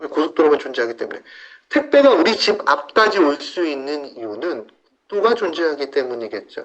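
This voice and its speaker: The speaker moves at a fairly quick pace, with very wide swings in pitch. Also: man, fairly high pitch for a man. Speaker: health supplement presenter. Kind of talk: sales pitch. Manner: fast.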